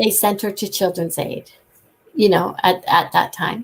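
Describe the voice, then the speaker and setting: This woman has a plain, everyday voice at medium pitch, with a Canadian accent. She talks at a moderate pace. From Ontario, Canada. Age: 60s. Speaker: guest sharing life story. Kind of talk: interview testimony.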